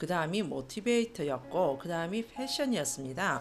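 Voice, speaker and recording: Her pitch rises and falls very widely. The woman keeps a moderate speed. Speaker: aromatherapy instructor. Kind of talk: tutorial. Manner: many fillers and repetitions.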